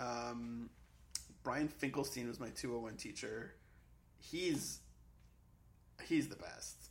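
Speaking very slowly with long, frequent pauses, a man with an American accent and a medium pitch uses ordinary pitch variation, and the room echo is audible. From Massachusetts, near Boston. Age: 30s. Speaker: comedy writer. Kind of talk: casual chat.

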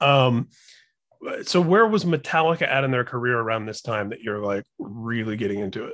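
In a plain, everyday voice, a man with an American accent talks at medium pitch and a moderate pace, his pitch varying in an ordinary way while his loudness swings widely. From Indiana, US Midwest. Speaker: podcast host. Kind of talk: casual chat.

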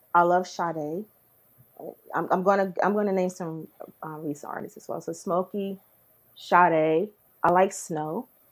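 In a New Jersey accent, a woman with a fairly low pitch speaks at a fairly slow pace, with fairly even intonation, big swings in loudness and long, frequent pauses. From Newark, New Jersey. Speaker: R&B/soul singer-songwriter. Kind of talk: casual interview chat.

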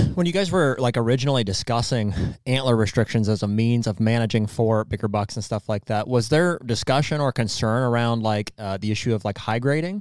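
Here is an ordinary speaking voice moving at a fairly quick pace. The recording is very clean, with a silent background. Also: man, medium pitch for a man, ordinary pitch variation. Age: 30s. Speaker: podcast co-host and hunter. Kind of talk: casual chat.

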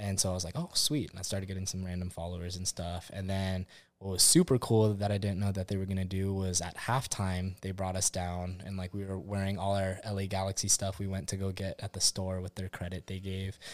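Very clean recording, silent background: a man with a very deep, low voice and an American accent. He speaks at a fairly quick pace in a monotone, flat way, with hardly any pauses. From Southern California, Orange County. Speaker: firefighter and gambler. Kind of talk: casual chat.

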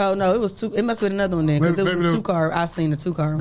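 A woman talks at a very fast pace in a fairly low pitch, keeping her loudness very even. Her intonation is fairly even, and there is noticeable background noise. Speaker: radio show co-host.

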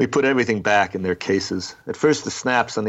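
A passage is read out in a natural-sounding voice.

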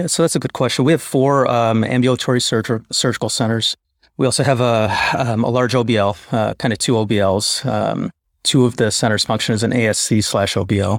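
The speaker has an ordinary speaking voice and an American accent. The pace is fairly quick, with ordinary pitch variation. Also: man, medium pitch for a man, very even loudness. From Chicago. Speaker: interventional radiologist. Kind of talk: casual interview. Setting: video call.

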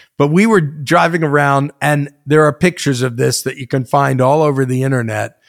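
Speaking with an American accent and a normal speaking voice, a man talks at a fairly quick pace with hardly any pauses, a fairly high pitch and ordinary pitch variation. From New York / New Jersey. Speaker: music industry veteran, former DJ. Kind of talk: interview storytelling.

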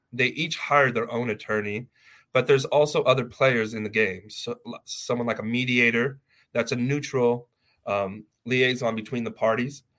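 The voice has a bright, sharp tone and fairly even intonation, in a Californian accent. The recording is very clean, with a silent background. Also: man, medium pitch for a man, moderate pace. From Los Angeles, California. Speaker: family lawyer. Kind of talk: interview.

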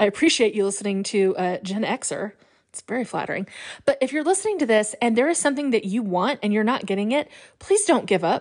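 A woman's fairly high, animated voice at a very fast pace, full of lively intonation, over a quiet background. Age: 40s. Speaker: podcast host. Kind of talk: casual monologue.

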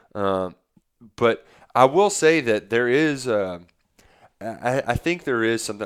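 A man with a normal speaking voice talks at a fairly slow pace. His intonation is lively, in a very clean recording with a silent background. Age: 20s. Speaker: podcast co-host. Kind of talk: casual chat.

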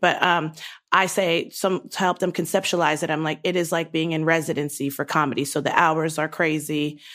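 A woman with an American accent, very deep and low in pitch, at a fairly quick pace with monotone, flat intonation, on a very clean recording with a silent background. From US Mid-Atlantic. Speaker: sketch comedian. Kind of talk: casual interview.

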